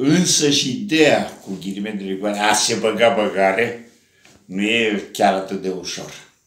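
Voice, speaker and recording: Here a man talks at a fairly slow pace with a fairly low pitch. His pitch variation is ordinary, and audible room echo surrounds him. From Romania, Brăila; Romania. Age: 80s+. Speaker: writer. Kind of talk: casual monologue to camera. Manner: animated. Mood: warm, joking. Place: home room. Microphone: camera far.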